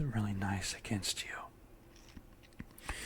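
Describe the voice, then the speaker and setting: The tone is calm, with noticeable background noise behind the speech. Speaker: ASMR and meditation content creator. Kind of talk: guided meditation, ASMR relaxation. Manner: soft-spoken, calm, relaxing.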